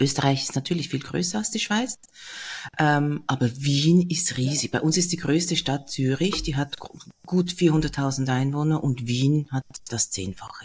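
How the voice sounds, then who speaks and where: A woman speaks at a fairly slow pace in a very deep, low pitch. Her voice is somewhat breathy, with ordinary pitch variation. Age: 50s. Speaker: podcast host. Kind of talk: interview. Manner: calm.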